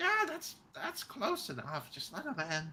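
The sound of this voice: The voice moves at a fairly slow pace, pitched fairly high. It is a put-on character voice.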